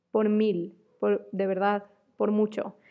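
A woman's medium pitch at a very slow pace. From Mexico. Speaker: podcast host. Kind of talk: solo podcast monologue.

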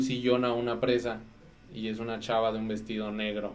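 Audible room echo around a man speaking at a moderate pace. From Mexico, Dolores (Guanajuato). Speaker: photographer. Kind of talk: casual chat. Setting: studio.

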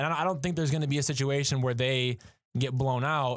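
Captured in a very clean recording with a silent background, a man speaks in a normal speaking voice with ordinary pitch variation. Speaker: student assistant sports editor, co-host. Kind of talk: casual sports discussion.

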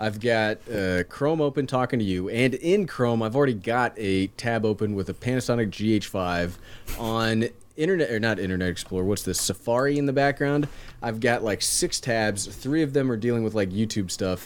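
A man's unremarkable speaking voice at a medium pitch. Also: ordinary pitch variation, moderate pace. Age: 30s. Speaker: tech YouTuber. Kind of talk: casual interview chat.

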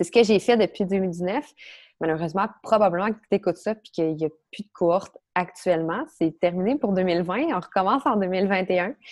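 This woman speaks at a moderate pace with a medium pitch and ordinary pitch variation, though her loudness swings widely. The sound is dry and close with no echo, over a quiet background. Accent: Quebec. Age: 30s. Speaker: stress and anxiety coach. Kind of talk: interview.

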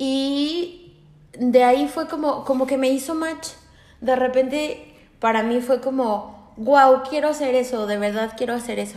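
With a high pitch, a woman talks at a fairly slow pace. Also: ordinary pitch variation. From Aguascalientes, Mexico. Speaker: lawyer, host's roommate. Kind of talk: casual chat.

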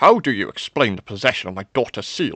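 In a put-on character voice, a man with a fairly low pitch and a bright, sharp tone makes big pitch swings at a fairly quick pace, with a dry, close sound and no echo.

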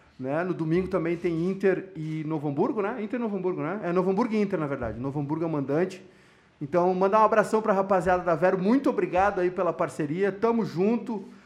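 A man speaks at a very fast pace in a high voice, with ordinary pitch variation. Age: 30s. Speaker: podcast host. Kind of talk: casual chat.

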